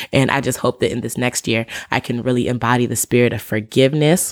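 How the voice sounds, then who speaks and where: A woman talks at a fairly quick pace in a very deep, low voice. Her tone is animated. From African family, raised in African church community. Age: 20s. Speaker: podcast host. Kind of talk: casual monologue.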